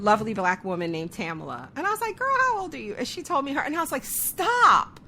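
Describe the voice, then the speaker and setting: Over noticeable background noise, a woman with a high pitch and a raised, projected voice speaks at a very fast pace with hardly any pauses, her animated tone carried by very wide pitch swings. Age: 40s. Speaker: podcast host. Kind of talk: casual interview chat.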